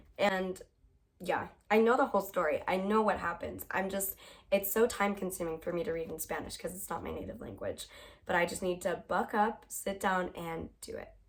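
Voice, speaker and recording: Her medium-pitched voice is somewhat breathy, with ordinary pitch variation. The woman keeps a moderate pace while her loudness swings widely. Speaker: book vlogger. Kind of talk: casual chat. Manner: animated.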